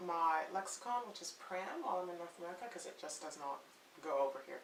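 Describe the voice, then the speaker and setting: A woman talks fairly quickly while noticeable background noise runs underneath. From Canada. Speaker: parenting blogger. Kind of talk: casual talk to camera.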